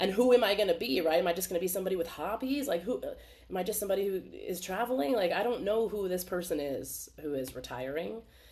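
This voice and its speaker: A woman's medium-pitched voice at a very fast pace, lively in intonation, with hardly any pauses and noticeable background noise. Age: 40s. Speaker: retreat facilitator. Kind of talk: webinar talk. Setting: video call. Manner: conversational.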